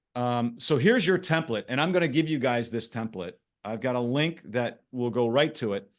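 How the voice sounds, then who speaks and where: Against a quiet background, a man in an ordinary speaking voice talks at a moderate pace and medium pitch with ordinary pitch variation. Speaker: branding coach. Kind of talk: live workshop presentation. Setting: video call.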